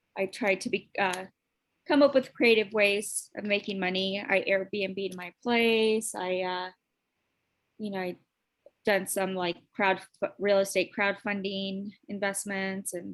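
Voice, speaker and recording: Speaking very slowly at a medium pitch, a woman with an American accent keeps a monotone, flat intonation while her loudness swings widely. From Chicago. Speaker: former lawyer, program participant. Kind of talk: self-introduction. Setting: video call.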